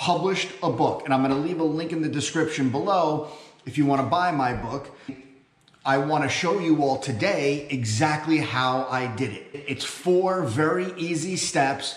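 With audible room echo around him, a man talks at a moderate pace and with ordinary pitch variation. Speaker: self-published author vlogger. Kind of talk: casual vlog chat. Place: home room. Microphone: camera far.

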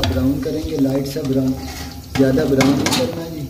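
A man is speaking. Clear background noise can be heard.

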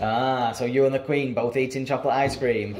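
A man speaks at a moderate pace and medium pitch, his intonation fairly even. Background noise is clearly audible.

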